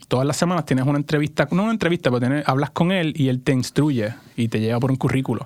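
The speaker is a man with an ordinary speaking voice. His pitch sits fairly high, with ordinary pitch variation. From Puerto Rico. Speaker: startup founder, former accountant. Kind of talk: interview. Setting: studio.

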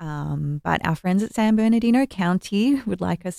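This woman has an Australian accent. The sound is dry and close, with no echo. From Melbourne, Australia. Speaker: music festival organizer. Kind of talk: casual chat.

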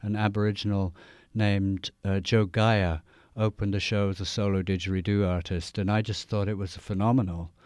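A man's fairly low voice with an English accent, monotone and flat, at a moderate pace, on a very clean recording with a silent background. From England. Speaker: didgeridoo player and radio DJ. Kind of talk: radio interview. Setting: radio studio.

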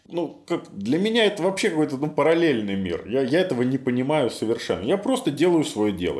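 A man's fairly high voice moves at a fairly quick pace with very wide pitch swings. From Belarus, Minsk. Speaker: psychologist. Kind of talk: interview.

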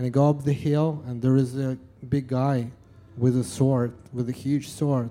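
A man with a Russian accent speaks at a fairly slow pace in a dark, mellow tone. His pitch is medium and his intonation fairly even. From Russia, Yekaterinburg. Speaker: live music promoter. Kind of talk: interview. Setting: stage with audience. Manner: halting.

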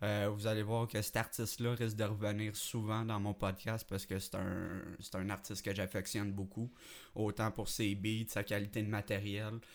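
At a moderate pace, a man speaks in a fairly low pitch with monotone, flat intonation. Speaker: amateur podcast host and rapper. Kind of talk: casual solo podcast talk. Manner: hesitant, many fillers.

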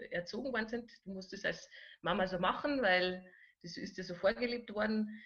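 In a plain, everyday voice, this woman speaks at a moderate pace, her pitch varying in an ordinary way. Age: 40s. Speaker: relaxation therapist. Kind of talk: interview.

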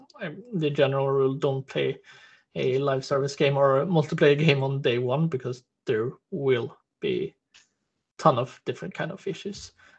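Speaking with a Swedish accent, a man uses a fairly high pitch, ordinary pitch variation, and a somewhat breathy voice. He keeps a moderate pace broken by long, frequent pauses. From Stockholm, Sweden. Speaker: game quality designer. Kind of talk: panel discussion.

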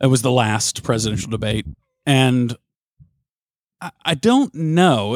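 In a dry, close recording with no echo, a man speaks at medium pitch with lively intonation. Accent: strong Southern US. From US South. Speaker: sports radio host. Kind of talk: casual chat.

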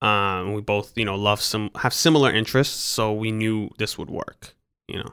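Using a fairly low pitch and a bright, sharp tone, a man talks at a moderate pace with fairly even intonation. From Los Angeles, San Fernando Valley; born in France to Iranian parents. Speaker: podcast co-host, orthodontist. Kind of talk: casual chat.

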